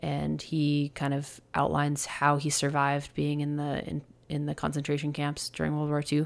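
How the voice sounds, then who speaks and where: A woman with an American accent speaks with a very deep, low pitch. Her pace is moderate, and the recording is very clean with a silent background. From New Jersey, US (Montclair). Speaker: retired professional hockey player. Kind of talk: interview.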